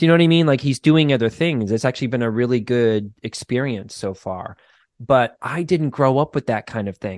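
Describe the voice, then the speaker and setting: A man talks at a fairly quick pace with ordinary pitch variation. The sound is dry and close with no echo, over a quiet background. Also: medium pitch for a man. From Boston. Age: 40s. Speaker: clinical social worker and therapist. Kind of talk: casual interview chat. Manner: casual, profane, laughs often.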